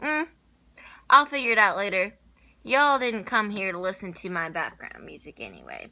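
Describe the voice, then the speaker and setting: In a very clean recording with a silent background, a woman speaks in a bright, sharp tone with lively intonation and long, frequent pauses. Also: medium pitch for a woman, moderate pace. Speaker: lifestyle vlogger. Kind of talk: casual vlog talk. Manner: loud; animated.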